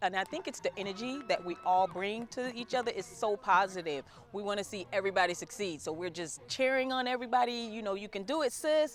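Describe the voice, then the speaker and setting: A woman's medium-pitched, animated voice with lively intonation, very fast and with hardly any pauses, over noticeable background noise. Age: 40s. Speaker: club member. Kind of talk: interview.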